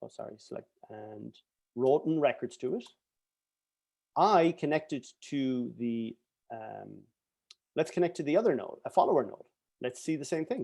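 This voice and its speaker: Lively intonation in a dark, mellow tone, against a quiet background. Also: man, fairly high pitch for a man, big swings in loudness. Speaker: software engineer presenting his database. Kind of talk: tech talk with live demo. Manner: fast.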